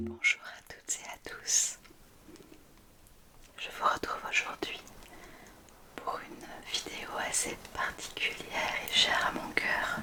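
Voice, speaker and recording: Over noticeable background noise, a woman whispers at a very slow pace with long, frequent pauses and big swings in loudness. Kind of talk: ASMR unboxing talk to camera. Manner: whispered, soft-spoken.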